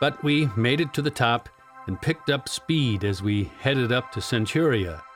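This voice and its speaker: Music plays behind the speaker. The pace is moderate, with ordinary pitch variation. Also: man. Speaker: audiobook narrator. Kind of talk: audiobook narration.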